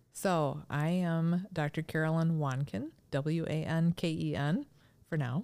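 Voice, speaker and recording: A woman with an American accent speaks at a fairly slow pace with a very deep, low pitch and a dark, mellow tone. Her loudness stays very even in a very clean recording with a silent background. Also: ordinary pitch variation. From Minnesota. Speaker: chiropractor. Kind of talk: casual interview.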